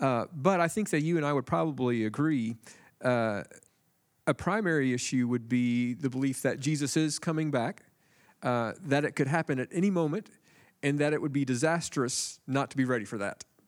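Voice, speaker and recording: A man speaks at a moderate pace with a plain, everyday voice, fairly high in pitch. His pitch varies in an ordinary way, and the recording is very clean with a silent background. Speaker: panelist.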